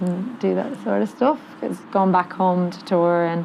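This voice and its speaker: A woman with an Irish accent speaks at a moderate pace over noticeable background noise. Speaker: touring musician. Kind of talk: casual chat.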